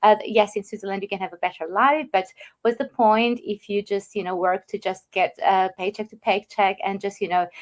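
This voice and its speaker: A woman speaks at a moderate pace in an Albanian accent. Her medium-pitched voice keeps a fairly even intonation. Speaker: online business owner. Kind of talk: interview. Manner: halting.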